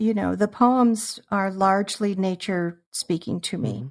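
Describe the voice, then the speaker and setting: Speaking at a very slow pace, a woman uses a medium pitch with ordinary pitch variation. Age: 60s. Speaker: artist and former video podcaster. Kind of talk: casual interview conversation.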